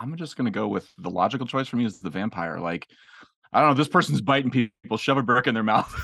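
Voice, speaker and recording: A man's bright, sharp tone with vocal fry and lively intonation, at a very fast pace over a quiet background. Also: medium pitch for a man. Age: 40s. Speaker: educator and musician. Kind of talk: casual chat. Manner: animated.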